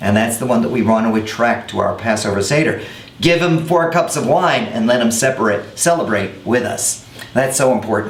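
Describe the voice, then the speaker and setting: Noticeable background noise sits behind a man speaking at a moderate pace. His tone is upbeat and his intonation lively. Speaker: rabbi. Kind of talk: educational web series talk to camera.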